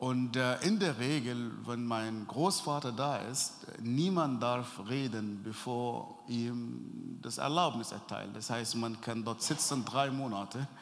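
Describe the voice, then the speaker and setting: In an Arabic accent, a man with a medium pitch speaks at a very slow pace amid audible room echo. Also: ordinary pitch variation, hardly any pauses. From Sudan. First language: Arabic (speaking German). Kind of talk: interview testimony. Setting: church event before sermon, audience present.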